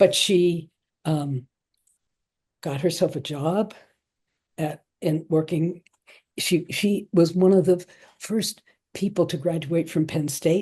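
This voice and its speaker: Fairly low in pitch with a dark, mellow tone, a somewhat breathy woman speaks very slowly with fairly even intonation and long, frequent pauses over a quiet background. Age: 80s+. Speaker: mental health author and recovery advocate. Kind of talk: interview, personal life story. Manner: halting.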